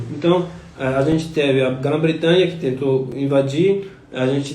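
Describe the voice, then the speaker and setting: Speaking at a fairly slow pace with a non-native accent and fairly even intonation, the voice comes through audible room echo and noticeable background noise. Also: man. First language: not Portuguese (speaking Portuguese). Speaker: scholar of religion giving talk. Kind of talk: live stream lecture. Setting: Instagram live stream. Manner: halting, many fillers.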